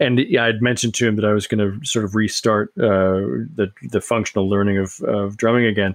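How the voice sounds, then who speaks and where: A normal speaking voice holds very even loudness and fairly even intonation. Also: man, fairly low pitch for a man. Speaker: podcast host. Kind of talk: casual chat.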